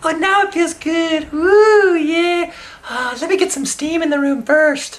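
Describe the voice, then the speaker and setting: Someone puts on a character voice at an extremely high pitch. The delivery comes at a fairly slow pace. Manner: obnoxious, entitled.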